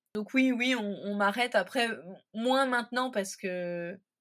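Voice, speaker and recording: There is a silent background on a very clean recording. A woman talks at a fairly slow pace. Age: 30s. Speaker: stay-at-home mother of a child with Down syndrome. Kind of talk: interview testimony. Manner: hesitant, many fillers.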